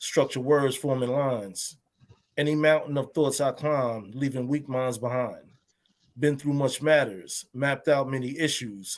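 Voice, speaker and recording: This man has an unremarkable speaking voice with a fairly high pitch. He talks at a fairly slow pace with fairly even intonation. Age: 50s. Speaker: poetry show host. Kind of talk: spoken word poetry performance.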